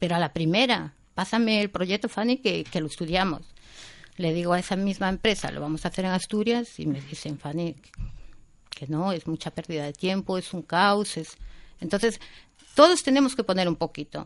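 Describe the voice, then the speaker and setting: Over a quiet background, a woman with a normal speaking voice talks at a moderate pace and medium pitch, her intonation lively. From Spain, Galicia (Vigo). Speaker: event organiser. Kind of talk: casual chat.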